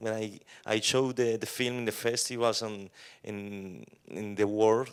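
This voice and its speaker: Over a silent background in a very clean recording, a man with a Colombian accent speaks very slowly at a fairly low pitch with ordinary pitch variation. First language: Spanish. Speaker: film director. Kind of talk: post-screening Q&A. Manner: halting.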